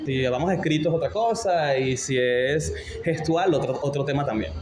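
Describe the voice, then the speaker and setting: A man at a moderate pace with ordinary pitch variation, music playing in the background. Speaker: radio announcer. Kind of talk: interview answer. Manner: natural, unpretentious.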